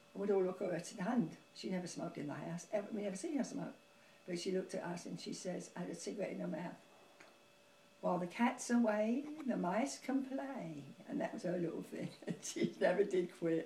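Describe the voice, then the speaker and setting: A woman speaks at a fairly quick pace with lively intonation over noticeable background noise. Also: medium pitch for a woman. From London. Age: 80s+. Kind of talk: interview answer.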